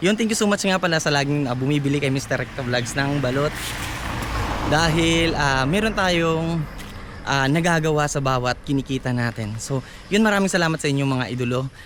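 Over noticeable background noise, a man speaks in a fairly high pitch with lively intonation. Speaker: vlogger and street vendor. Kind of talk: casual vlog talk to camera. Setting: outdoors, walking in the neighborhood. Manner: hesitant, many fillers.

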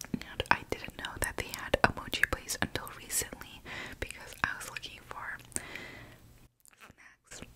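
A woman whispers at a moderate speed, stopping often for long pauses. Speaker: ASMR creator. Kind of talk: ASMR eating ramble. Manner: whispered; casual, rambling. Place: home room. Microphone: studio mic.

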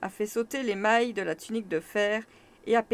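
This is an unforced reading voice with fairly even intonation.

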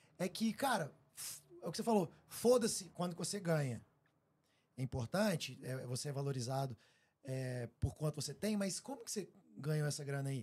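A man speaks at a moderate pace with long, frequent pauses, his somewhat breathy voice fairly high-pitched and making very wide pitch swings. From Brazil. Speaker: podcast host. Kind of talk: casual chat. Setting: live stream studio. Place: studio. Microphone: studio mic.

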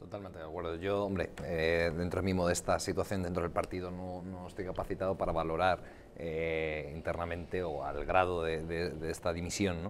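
The speech comes at a moderate pace with hardly any pauses and a monotone, flat intonation. Light background noise is present. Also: man, very deep, low pitch for a man. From Spain. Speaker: politician. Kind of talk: heated debate. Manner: halting. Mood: calm, measured, slightly critical. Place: studio. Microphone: lapel.

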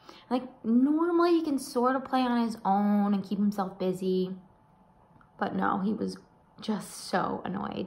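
Through noticeable background noise and audible room echo, a woman speaks at a medium pitch and a fairly slow pace with lively intonation. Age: 30s. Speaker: vlogger. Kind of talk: casual chat.

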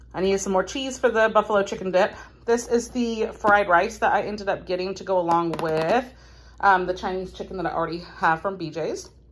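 A woman speaks at a fairly quick pace. Her pitch varies in an ordinary way. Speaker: home vlogger. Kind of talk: casual vlog chat. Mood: cheerful, relaxed. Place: home room. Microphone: phone near.

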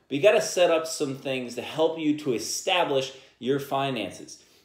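There is audible room echo around a man's voice. His pitch varies in an ordinary way. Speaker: podcast host. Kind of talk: podcast monologue on personal finance. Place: home room.

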